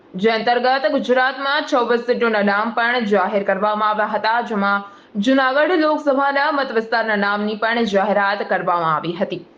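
Over noticeable background noise, a woman speaks at a fairly high pitch, with very even loudness and ordinary pitch variation. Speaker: local news reporter. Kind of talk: news report voiceover. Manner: formal.

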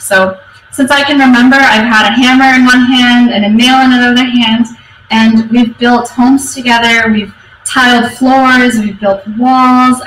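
Against light background noise and audible room echo, a woman with a high pitch speaks at a moderate pace, her loudness very even and her intonation fairly even. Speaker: conference speaker. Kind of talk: conference talk. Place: office. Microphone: webcam.

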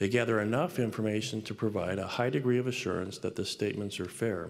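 With an American accent, a man speaks very fast at a fairly low pitch with ordinary pitch variation. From US Pacific Northwest. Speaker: business school professor and dean; university professor speaker. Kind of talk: devotional address. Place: hall. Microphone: podium.

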